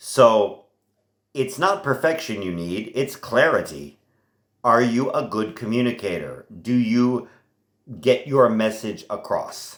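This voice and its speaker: A man with an American accent at a fairly slow pace. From United States. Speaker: language teacher. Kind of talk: lecture.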